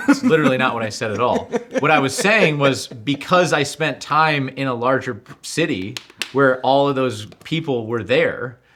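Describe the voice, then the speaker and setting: A man with an American accent and a fairly high voice, moderate in pace, ordinary in pitch variation, over noticeable background noise. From US Midwest, Minnesota. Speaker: podcast co-host. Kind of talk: casual chat.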